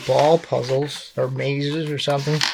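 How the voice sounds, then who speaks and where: Fairly slow, fairly high-pitched male speech amid noticeable background noise. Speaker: puzzle hobbyist YouTuber. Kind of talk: casual talk to camera. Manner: hesitant, many fillers.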